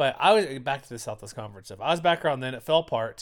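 A man talks at a very fast clip. The recording is very clean, with a silent background. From Texas, Houston. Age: 40s. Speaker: sports podcast host. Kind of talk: casual solo commentary. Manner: conversational, with fillers.

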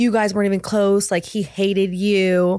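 Recorded very cleanly against a silent background, the dry, close sound with no echo carries a woman's medium-pitched voice, dark and mellow in tone, with an American accent. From Southern California. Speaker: wardrobe stylist. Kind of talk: casual chat.

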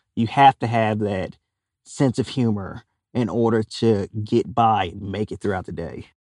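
Recorded in a dry, close sound with no echo and a quiet background, a man with a Louisiana accent speaks at a fairly low pitch and a fairly slow pace with fairly even intonation. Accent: Louisiana Southern US. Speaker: hunter and outdoor TV personality. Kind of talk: casual chat.

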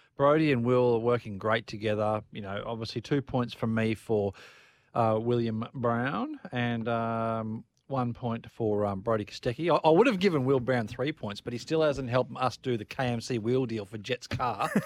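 In a very clean recording with a silent background, a man with an ordinary speaking voice talks at medium pitch and a moderate pace, his intonation fairly even. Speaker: motorsport commentator co-host. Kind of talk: casual motorsport analysis.

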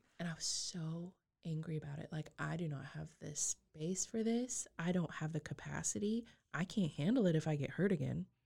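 A woman's very deep, low voice with an American accent, dark and mellow in tone, somewhat breathy, lively in intonation, at a moderate pace, in a very clean recording with a silent background. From Texas Panhandle. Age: 20s. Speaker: abuse survivor sharing her story. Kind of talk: testimony.

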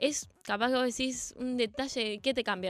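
Pitched high, a woman speaks with ordinary pitch variation on a very clean recording with a silent background. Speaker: women's football player. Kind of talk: radio interview.

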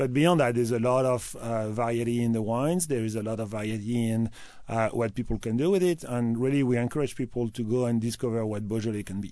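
A man with a French accent at a very fast pace, hardly any pauses, medium pitch, ordinary pitch variation and a dark, mellow tone, over a quiet background. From France, Loire Valley (Tours). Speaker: wine importer. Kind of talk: radio interview.

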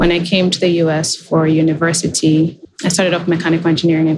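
Noticeable background noise sits behind a woman with fairly low pitch. She talks at a fairly quick pace with monotone, flat intonation. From Kenya. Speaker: healthcare technology executive. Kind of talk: interview.

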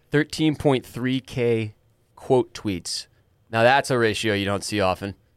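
A man speaks at a fairly slow pace in a normal speaking voice, medium in pitch with ordinary pitch variation, and the sound is dry and close with no echo. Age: 30s. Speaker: podcast host. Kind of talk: casual chat.

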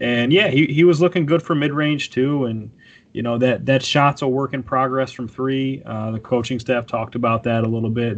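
A man's ordinary speaking voice in an American accent, fairly quick with hardly any pauses and ordinary pitch variation. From Syracuse, upstate New York. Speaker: sports reporter. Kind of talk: casual chat.

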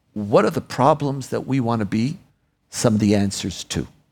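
Vocal fry runs through this man's voice. His pace is moderate. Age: 60s. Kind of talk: live onstage interview. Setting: stage with audience.

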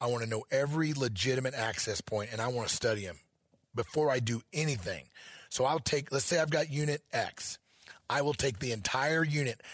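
The voice is somewhat breathy, with ordinary pitch variation and a fairly quick pace. The recording is very clean, and the background is silent. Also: man, medium pitch for a man. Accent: American. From Missouri. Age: 50s. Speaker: elk hunting educator. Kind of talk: interview. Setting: event venue.

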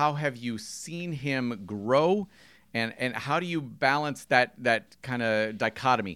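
On a very clean recording with a silent background, a man of medium pitch talks at a fairly slow pace with lively intonation. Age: 40s. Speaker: podcast co-host, tennis coach. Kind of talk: interview questions. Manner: halting, repeats words.

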